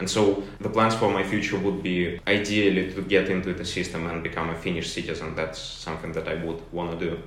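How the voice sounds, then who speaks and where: A man with a Russian accent and a very deep, low pitch talks at a fairly quick pace with hardly any pauses and monotone, flat intonation, amid noticeable background noise and audible room echo. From Russia, St. Petersburg. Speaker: university student. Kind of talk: interview.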